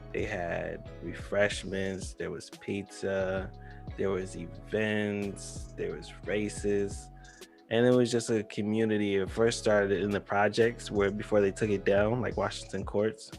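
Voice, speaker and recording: Someone speaks at a fairly slow pace with fairly even intonation while music plays in the background. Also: man, fairly low pitch for a man. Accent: American. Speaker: talk show host. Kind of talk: casual talk-show banter.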